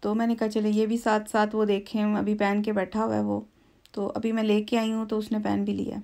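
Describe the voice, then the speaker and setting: With a fairly high pitch and a dark, mellow tone, a woman speaks at a moderate pace and with fairly even intonation against a quiet background. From Pakistan. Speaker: lifestyle vlogger. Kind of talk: shopping haul vlog. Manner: chatty, relaxed. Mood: relaxed, cheerful. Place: home room. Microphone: phone near.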